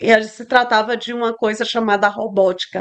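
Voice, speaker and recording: The background is quiet. A woman speaks in a fairly high voice. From Brazil, São Luís, Maranhão. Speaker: tech entrepreneur, CEO. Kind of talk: interview. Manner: halting, searching for Portuguese words.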